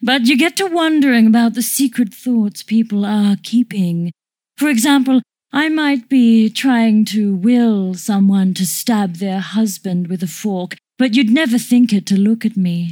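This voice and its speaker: A woman at a moderate pace with a fairly high pitch. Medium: audio drama. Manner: prim, chatty, quietly sinister.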